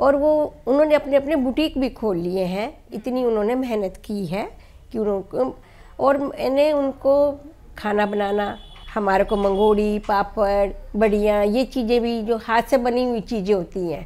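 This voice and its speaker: Her voice is fairly high with a dark, mellow tone, and this woman uses ordinary pitch variation. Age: 60s. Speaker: NGO founder. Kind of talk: interview.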